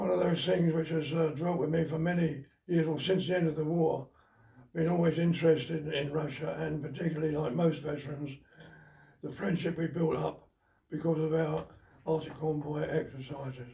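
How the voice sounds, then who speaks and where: A man with a British accent and a dark, mellow tone speaks at a moderate pace with a fairly high pitch and fairly even intonation. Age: 90s. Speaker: war veteran. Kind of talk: testimony. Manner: halting.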